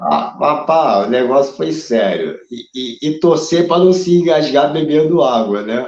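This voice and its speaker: A man with a fairly high voice speaks fairly slowly, with ordinary pitch variation and hardly any pauses. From Brazil, Rio de Janeiro. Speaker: drummer and myasthenia patient. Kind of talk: casual interview chat. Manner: halting.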